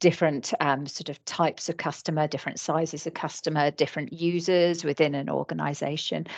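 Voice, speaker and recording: A woman with a British accent, fairly low pitch and a fairly quick pace against a quiet background. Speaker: licensing trainer. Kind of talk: webinar training presentation. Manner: hesitant, many fillers.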